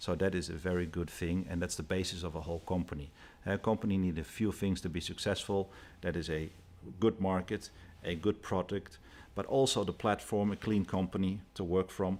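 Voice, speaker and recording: Recorded very cleanly against a silent background, a man with a Dutch accent speaks fairly quickly with a very deep, low pitch and fairly even intonation. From Netherlands. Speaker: company executive. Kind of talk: interview.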